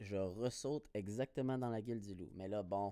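With lively intonation, a man speaks in a medium-pitched voice of dark, mellow tone, captured dry and close with no echo. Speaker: podcaster. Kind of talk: casual solo monologue. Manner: animated.

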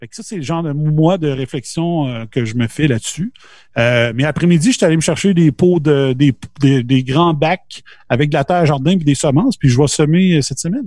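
A man with fairly high pitch speaks in a somewhat breathy voice. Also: ordinary pitch variation, moderate pace. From Quebec, Beauce region. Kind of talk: casual chat.

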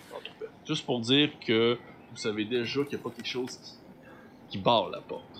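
A man at medium pitch speaks at a moderate pace with fairly even intonation, big swings in loudness, and long, frequent pauses. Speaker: game master of a role-playing show. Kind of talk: tabletop role-play narration.

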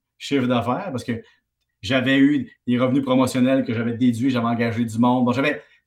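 This man has a normal speaking voice at a medium pitch. His pace is fairly quick. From Quebec, Valleyfield. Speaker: economics columnist and TV host. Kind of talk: casual chat.

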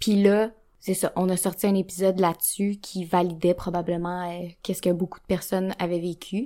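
A dark, mellow tone in a flat monotone at a moderate pace, on a very clean recording with a silent background. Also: woman. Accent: Quebec. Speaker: podcast co-host, sexologist. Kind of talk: casual chat.

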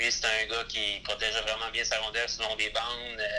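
Noticeable background noise sits behind this man. He speaks at a medium pitch and a fairly slow pace. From Quebec, Gaspé. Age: 30s. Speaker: former hockey player. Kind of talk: interview. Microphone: poor sound quality in interview.

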